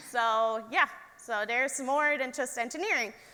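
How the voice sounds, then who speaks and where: Noticeable background noise sits behind a raised, projected voice. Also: woman. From Germany, Stuttgart area. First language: German. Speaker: engineer. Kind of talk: talk to young audience.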